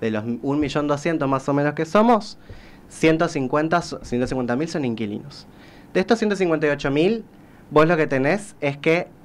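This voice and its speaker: This is an unremarkable speaking voice from a man with a fairly high pitch. He talks at a moderate pace with lively intonation. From Corrientes, Argentina. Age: 20s. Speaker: social sciences researcher and author. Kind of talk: radio interview answer. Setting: studio.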